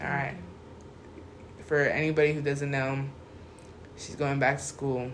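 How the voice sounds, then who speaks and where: Against noticeable background noise and audible room echo, a man with a fairly high pitch talks at a moderate pace in a monotone, flat intonation, with long, frequent pauses. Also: big swings in loudness. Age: 20s. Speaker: podcast host. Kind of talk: casual chat.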